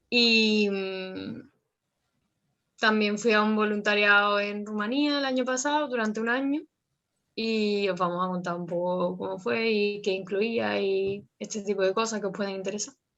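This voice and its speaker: A woman's unremarkable speaking voice, medium-pitched with ordinary pitch variation, at a fairly slow pace. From Andalusia, Jerez. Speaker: former volunteer. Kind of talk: interview.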